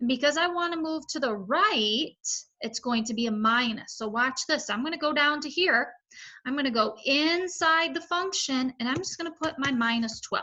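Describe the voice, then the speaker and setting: A woman projects a raised, high-pitched voice with a bright, sharp tone. Her intonation is lively, and the background is quiet. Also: moderate pace. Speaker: math teacher. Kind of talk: tutorial.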